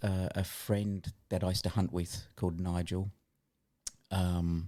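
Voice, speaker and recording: An Australian accent at a moderate pace with a dark, mellow tone and fairly even intonation on a very clean recording with a silent background. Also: man. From Australia, Adelaide. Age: 60s. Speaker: physiotherapist and former hunting guide. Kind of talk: podcast interview.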